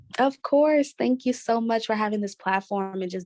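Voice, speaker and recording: Soft-spoken and at a moderate pace, a woman with an American accent comes through with a dry, close sound and no echo. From Brooklyn, New York. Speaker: PR and communications expert. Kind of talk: interview. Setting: office.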